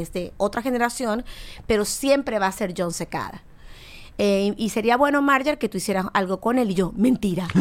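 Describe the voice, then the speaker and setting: A woman speaks in a plain, everyday voice at a fairly high pitch and a moderate pace, with ordinary pitch variation. The recording is very clean, with a silent background. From Venezuela. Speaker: singer. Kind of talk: casual chat.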